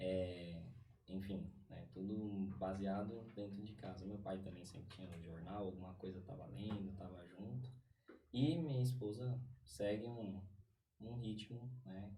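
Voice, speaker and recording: A man's fairly low pitch with ordinary variation, at a fairly slow pace, with audible room echo. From Brazil, São Paulo East Zone. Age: 30s. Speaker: podcast guest. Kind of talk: casual interview chat. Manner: hesitant, many fillers.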